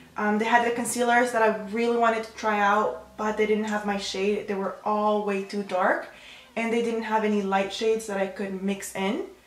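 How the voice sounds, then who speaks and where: Over noticeable background noise and audible room echo, a woman with a fairly high pitch speaks at a moderate pace in a monotone, flat intonation. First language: Spanish. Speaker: beauty youtuber. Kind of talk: makeup tutorial chat. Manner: casual, with fillers and self-corrections.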